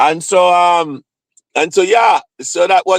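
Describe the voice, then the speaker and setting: A man with a Jamaican accent is heard in a dry, close sound with no echo. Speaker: live streamer, psychiatric nurse practitioner. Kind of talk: casual live stream chat. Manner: repetitive, halting.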